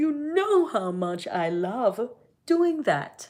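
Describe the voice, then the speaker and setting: In a put-on character voice, a woman rumbles along at a very slow pace with very wide pitch swings. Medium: read story. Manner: grumbling.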